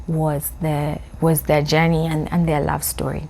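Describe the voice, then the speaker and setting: A woman speaks in a very deep, low voice with vocal fry. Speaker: video diarist. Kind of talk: personal video journal. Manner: halting, many repeated words.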